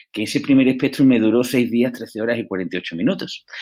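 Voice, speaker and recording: On a very clean recording with a silent background, a man with an Andalusian accent speaks in a medium pitch. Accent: Andalusian (Seville). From Andalusia, Seville. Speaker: entrepreneur. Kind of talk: podcast interview. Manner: hesitant fillers.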